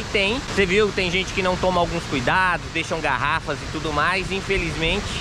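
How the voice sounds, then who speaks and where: Noticeable background noise runs behind a man speaking at a moderate pace, the sound dry with no echo. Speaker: travel vlogger. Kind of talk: casual vlog chat. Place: forest. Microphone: phone near.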